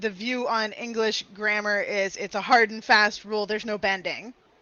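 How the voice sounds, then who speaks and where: With an American accent, a woman talks at a moderate pace in a fairly high pitch. There is noticeable background noise. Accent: Southern US accent toned down with students. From US South. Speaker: English tutor. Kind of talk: online language lesson conversation. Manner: clear, careful enunciation.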